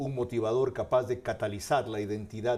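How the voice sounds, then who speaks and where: A man's somewhat breathy voice with a dark, mellow tone, medium pitch, fairly even intonation and a moderate pace. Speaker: TV political commentator and interviewer. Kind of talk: scripted editorial narration.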